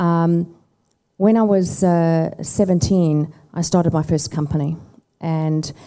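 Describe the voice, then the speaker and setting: With a South African accent, a woman speaks at a very slow pace with long, frequent pauses, her fairly low voice having a dark, mellow tone and fairly even intonation. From South Africa and US (Chicago). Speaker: tech company founder. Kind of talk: fireside chat interview.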